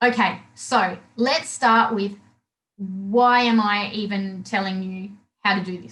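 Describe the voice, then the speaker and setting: An Australian accent at a fairly slow pace, with big swings in loudness. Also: woman. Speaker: body language trainer. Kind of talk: webinar presentation. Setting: live webinar. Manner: halting.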